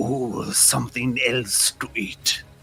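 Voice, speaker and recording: Amid clear background noise, a man at medium pitch performs a put-on character voice. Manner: monotone, echoing, ominous.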